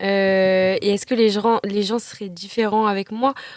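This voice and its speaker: A woman is talking here. Her pace is moderate. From southern France, near Marseille. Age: 20s. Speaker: actress. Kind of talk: casual chat.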